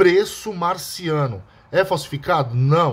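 A very slow, lively-toned man with a Brazilian accent and a fairly high pitch. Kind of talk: street-seller-style sales pitch. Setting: video to camera, showing the bottle. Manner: pushy, hard-sell urgency with stock and deadline pressure.

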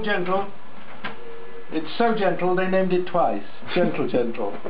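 There is noticeable background noise as a man speaks. His pitch is high, with ordinary variation. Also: moderate pace. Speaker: voice actor. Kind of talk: comedy sketch. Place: office. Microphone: phone near.

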